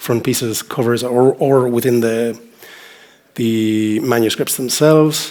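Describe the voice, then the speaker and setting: Noticeable background noise accompanies a man with a western Irish accent who speaks at a moderate pace in a medium pitch, his intonation monotone and flat. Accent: Irish (west of Ireland). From Ireland, Galway (west coast). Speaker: journal editor. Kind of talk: conference talk. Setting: stage with audience. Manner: hesitant, with fillers and repetitions.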